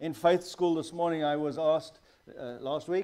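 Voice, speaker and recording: The man's voice sits high in pitch with a dark, mellow tone, moving at a moderate pace. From South Africa. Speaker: guest preacher, missionary pastor. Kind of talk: sermon. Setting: church.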